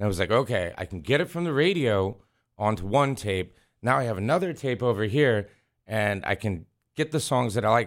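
Over a silent background in a very clean recording, a man with an American accent speaks at a fairly quick pace, using a medium pitch and lively intonation. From US Midwest, Wisconsin. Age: 40s. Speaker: music engineer. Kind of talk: casual interview. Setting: radio studio. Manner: halting, many fillers.

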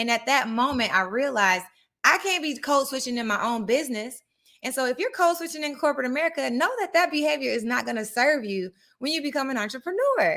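In a very clean recording with a silent background, a woman speaks very fast with a high pitch, a bright, sharp tone and lively intonation. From Atlanta, Georgia, US South. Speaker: podcast host, career coach. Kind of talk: casual monologue, live stream. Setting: live video stream. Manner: casual, conversational.

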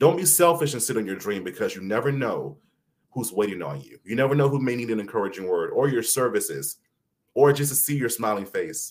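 With an American accent and vocal fry, a man speaks at a medium pitch and fairly quick pace, showing lively intonation and big swings in loudness. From South Carolina (Mullins). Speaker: educator and celebrity interviewer. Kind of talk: interview guest storytelling. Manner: articulate.

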